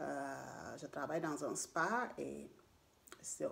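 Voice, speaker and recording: This is a woman talking. She has a non-native accent. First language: not French (speaking French). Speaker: beautician and beauty vlogger. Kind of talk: casual vlog monologue. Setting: at home. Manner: halting, many fillers.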